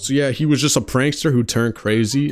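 A man talks at a very fast pace with fairly even intonation. Faint music sits in the background. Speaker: video game commentator. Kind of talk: commentary. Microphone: handheld.

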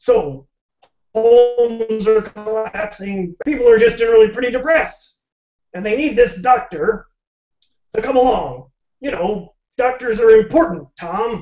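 A cartoonish character voice, fairly high in pitch, at a moderate pace with long, frequent pauses. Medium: puppet show. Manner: chatty, punning; folksy, easygoing, drawling.

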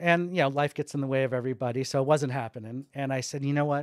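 Here a man talks with fairly even intonation. His sound is dry with no echo, over a quiet background. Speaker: podcast guest. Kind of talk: interview answer. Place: studio. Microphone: studio mic.

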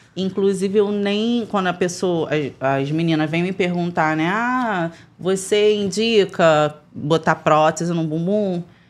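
A woman at a very slow pace with hardly any pauses and ordinary pitch variation. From Brazil. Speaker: former funk dancer; podcast guest. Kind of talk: casual chat. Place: studio. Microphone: studio mic.

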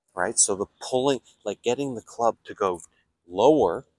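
There is noticeable background noise behind a man's dry, echo-free voice with ordinary pitch variation. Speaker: golf coach. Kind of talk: tutorial. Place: open country.

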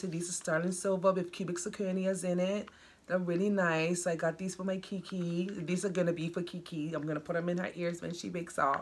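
Over light background noise, a woman with a fairly low pitch talks at a very fast pace. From Bermuda. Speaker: doll hobby vlogger. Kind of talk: casual vlog. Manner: animated. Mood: cheerful, chatty. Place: home room. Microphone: camera far.

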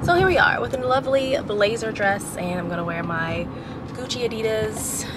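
Over noticeable background noise, a woman with an American accent speaks at a moderate pace with lively intonation. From US South, North Carolina. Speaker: vlogger and mom blogger; vlogger, mom blogger. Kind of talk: casual vlog monologue. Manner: animated. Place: car. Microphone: phone near.

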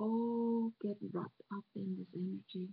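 Speaking with a non-native accent, a woman goes at a very slow pace. Her voice is somewhat breathy, and her intonation fairly even. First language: not English. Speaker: meditation guide. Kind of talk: guided relaxation. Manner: slow, soft-spoken.

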